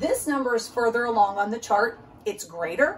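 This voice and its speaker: Over noticeable background noise, a woman speaks in a high voice with very wide pitch swings. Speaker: teacher. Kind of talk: tutorial. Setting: recorded video for parents.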